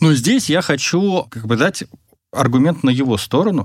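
On a very clean recording with a silent background, a man has an ordinary speaking voice, moderate pace and ordinary pitch variation. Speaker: podcast host. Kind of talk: casual interview chat.

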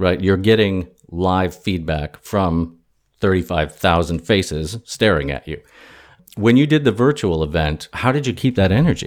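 A man speaks at a very deep, low pitch. His intonation is lively. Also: moderate pace. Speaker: podcast host. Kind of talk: interview. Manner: mock-serious announcer style.

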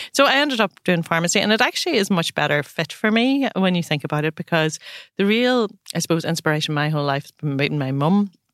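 A woman with a Northern Irish accent talks at a fairly quick pace, her medium pitch making very wide swings. The recording is very clean with a silent background and a dry, close sound with no echo. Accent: Northern Irish (Tyrone). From Northern Ireland, County Tyrone. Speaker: pharmacy business owner. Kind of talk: interview conversation.

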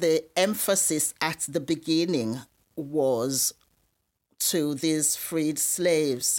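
Very slow speech from a woman with a very deep, low pitch, ordinary pitch variation and very even loudness, on a very clean recording with a silent background. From Sierra Leone (Freetown). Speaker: retired nurse. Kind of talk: testimony. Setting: studio.

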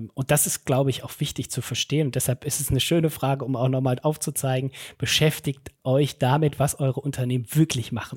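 A man speaks at a fairly quick pace in a monotone, flat intonation, his medium-pitched voice somewhat breathy and hardly ever pausing. The recording is very clean with a silent background and a dry, close sound with no echo. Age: 30s. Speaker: head of talent management and learning. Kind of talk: podcast interview. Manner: hesitant, many fillers.

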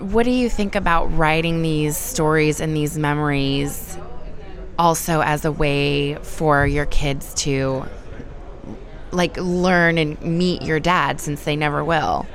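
A woman with a very deep, low pitch speaks at a very slow pace with ordinary pitch variation. Noticeable background noise and audible room echo fill the recording. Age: 30s. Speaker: podcast host and editor. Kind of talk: scripted narration; interview.

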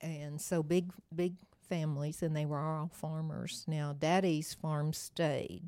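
A woman's very deep, low voice, dark and mellow in tone, with fairly even intonation, a very slow pace and hardly any pauses. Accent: American. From Oklahoma. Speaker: retired nurse, church member. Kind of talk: interview storytelling.

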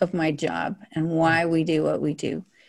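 A woman with an American accent and a dark, mellow tone speaks in a very clean recording with a silent background. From Montana (Billings). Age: 60s. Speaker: social worker and therapist. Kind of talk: interview.

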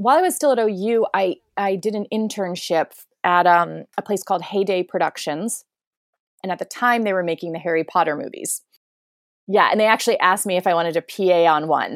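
Recorded very cleanly with a silent background and a dry, close sound with no echo, a woman uses a plain, everyday voice at medium pitch, speaking at a fairly quick pace with ordinary pitch variation. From rural northeast Ohio, US. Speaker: film director. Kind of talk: interview.

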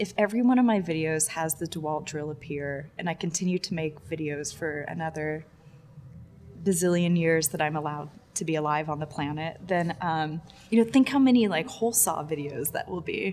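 With an American accent, a woman speaks at a fairly quick pace. Her pitch is very deep and low, with ordinary pitch variation. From Texas. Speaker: video artist. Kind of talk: casual interview. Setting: gallery space with audio problems.

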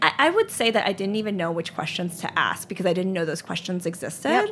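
A woman talks with an American accent over noticeable background noise. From Charlotte, North Carolina. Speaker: ice cream company founder. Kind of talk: interview. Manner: hesitant, many fillers.

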